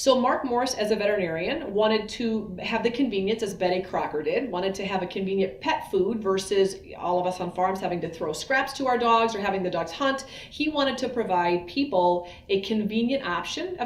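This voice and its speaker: Fairly quick, nearly pauseless speech in an American accent, with noticeable background noise and audible room echo. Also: woman. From US Midwest, Iowa. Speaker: veterinarian. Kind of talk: educational talk. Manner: fast.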